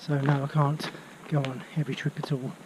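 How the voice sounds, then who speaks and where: A man speaks with a Birmingham accent at a fairly slow pace. Noticeable background noise runs underneath. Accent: Birmingham (Brummie). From England, Birmingham area. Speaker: travel vlogger and walking trip organiser. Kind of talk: casual vlog while walking. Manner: hesitant, with fillers.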